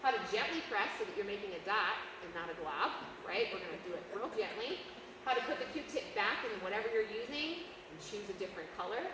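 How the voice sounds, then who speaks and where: A woman speaks loudly at a fairly quick pace, her fairly high voice animated and swinging very widely in pitch. Noticeable background noise and audible room echo fill the recording. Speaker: moms group speaker. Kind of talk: presentation.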